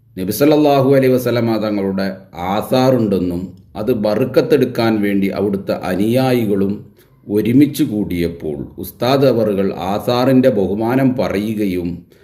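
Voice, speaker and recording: A man speaks at a fairly low pitch with a dark, mellow tone and ordinary pitch variation. There is audible room echo. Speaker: religious commentator. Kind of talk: polemical video commentary. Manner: emphatic, indignant.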